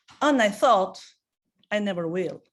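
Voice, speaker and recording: On a very clean recording with a silent background, a woman with an Albanian accent speaks at medium pitch with lively intonation. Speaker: network marketing consultant. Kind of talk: business presentation. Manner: halting, with many fillers.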